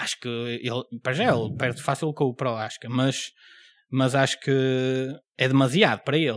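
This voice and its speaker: With a European Portuguese accent, a man speaks at a medium pitch and a moderate pace with fairly even intonation, on a very clean recording with a silent background. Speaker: podcast host and stand-up comedian. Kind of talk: casual chat.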